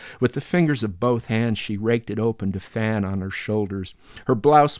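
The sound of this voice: The speaker reads in an unforced reading voice.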